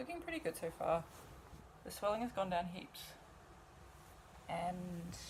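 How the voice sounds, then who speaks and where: A somewhat breathy woman's voice at a medium pitch, fairly slow, with ordinary pitch variation and long, frequent pauses. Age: 20s. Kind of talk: casual talk to camera.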